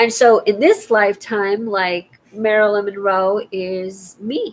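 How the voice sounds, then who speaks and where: Very slowly and with fairly even intonation, a woman speaks in an American accent. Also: medium pitch for a woman. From California. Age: 50s. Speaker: vlogger. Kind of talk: casual monologue.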